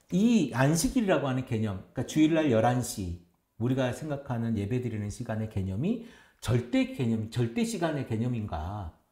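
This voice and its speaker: A man speaks at a moderate pace in a dark, mellow, somewhat breathy tone with lively intonation. Audible room echo is present against a quiet background. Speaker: pastor. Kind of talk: casual chat. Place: studio.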